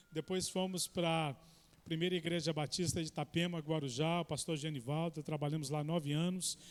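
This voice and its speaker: Delivery comes in a Minas Gerais accent at a moderate pace. The intonation stays fairly even. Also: man. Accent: mineiro. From Minas Gerais, Belo Horizonte. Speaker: guest preacher. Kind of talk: sermon introduction. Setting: church.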